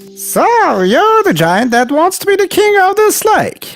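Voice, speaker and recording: Someone performs a put-on character voice at a moderate pace. Faint music plays in the background. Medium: read story. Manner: boastful.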